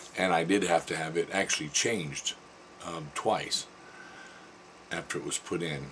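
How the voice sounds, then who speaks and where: Noticeable background noise sits behind this recording. A man with a very deep, low pitch speaks at a moderate pace. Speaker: throat cancer survivor vlogger; military veteran. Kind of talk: personal testimony vlog.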